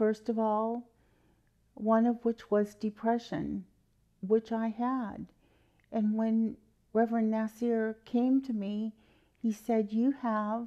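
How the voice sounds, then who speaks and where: The voice is dark and mellow, with flat, monotone intonation, a very slow pace, and long, frequent pauses. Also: woman, fairly high pitch for a woman. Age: 60s. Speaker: testimony giver at a healing ministry. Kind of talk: testimony.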